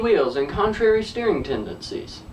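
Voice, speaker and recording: A man with an American accent talks at a moderate pace, with audible room echo around him. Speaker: comedy vlogger. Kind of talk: scripted humorous monologue.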